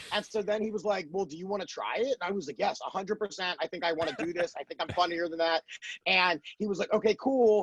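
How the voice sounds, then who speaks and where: The delivery is very fast with ordinary pitch variation. The sound is dry and close, with no echo. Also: man, high pitch for a man. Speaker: comedian. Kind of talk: podcast interview.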